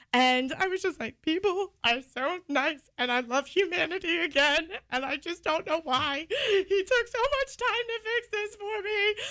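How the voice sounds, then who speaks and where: A woman with an extremely high, bright, sharp voice projects loudly, her pitch swinging very widely and hardly any pauses breaking her speech. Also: fairly slow pace. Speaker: radio co-host. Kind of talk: casual chat.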